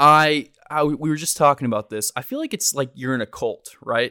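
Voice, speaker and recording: A man talks at a moderate pace in a bright, sharp tone, recorded dry and close with no echo, very clean against a silent background. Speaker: podcast host. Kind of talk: casual chat. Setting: home studio.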